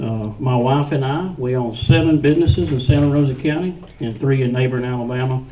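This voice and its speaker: A man with a Southern US accent talks at a very fast pace, his pitch medium with ordinary variation. Noticeable background noise and audible room echo fill the recording. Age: 40s. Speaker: political candidate. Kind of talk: campaign speech at a candidate forum. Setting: public meeting with audience.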